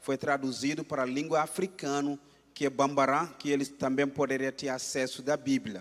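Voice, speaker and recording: A man with a Gambian accent and a fairly high-pitched voice talks at a moderate pace. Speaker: missionary preacher. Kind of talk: sermon.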